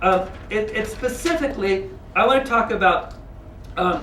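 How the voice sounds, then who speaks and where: A man speaks loudly at a high pitch, his tone animated with very wide pitch swings. Audible room echo and noticeable background noise come through. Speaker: religious lecturer. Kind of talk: lecture.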